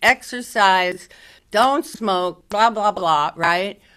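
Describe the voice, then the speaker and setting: A woman's bright, sharp, medium-pitched voice at a very slow pace, in a very clean recording with a silent background. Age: 80s+. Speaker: presenter on end-of-life planning. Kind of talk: presentation Q&A. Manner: halting.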